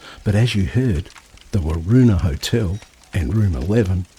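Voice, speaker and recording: A man's very deep, low voice with lively intonation at a moderate pace, amid noticeable background noise. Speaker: travel magazine presenter. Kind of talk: interview questions.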